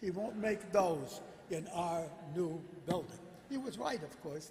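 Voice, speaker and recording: A man's high-pitched voice with audible room echo. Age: 90s. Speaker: synagogue elder. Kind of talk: speech to congregation. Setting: synagogue sanctuary with PA. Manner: halting.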